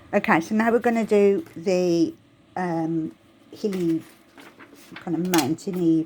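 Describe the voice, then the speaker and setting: Very slowly and with long, frequent pauses, a woman speaks in a Birmingham accent. Her pitch is medium, with ordinary variation. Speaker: crafting tutorial creator. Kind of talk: tutorial. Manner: casual, chatty.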